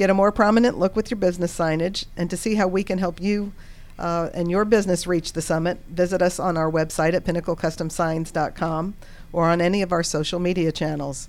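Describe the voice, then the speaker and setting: In an ordinary speaking voice, a woman talks at a fairly quick pace with fairly low pitch and fairly even intonation, on a very clean recording with a silent background. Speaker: radio host. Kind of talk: live radio interview. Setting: studio.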